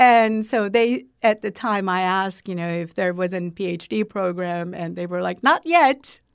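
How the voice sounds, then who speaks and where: In a very clean recording with a silent background, a woman with a Turkish accent speaks at a moderate pace and medium pitch, with ordinary pitch variation and hardly any pauses. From Turkey. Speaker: university president. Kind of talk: interview. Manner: halting.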